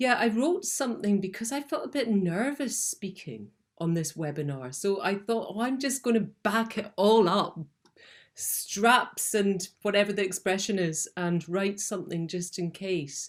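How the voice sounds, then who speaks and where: Her pace is fairly slow. The woman's intonation is lively. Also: medium pitch for a woman. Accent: Scottish. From Scotland. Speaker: documentary filmmaker. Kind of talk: prepared talk, partly read aloud. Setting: video call webinar. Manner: hesitant, many fillers.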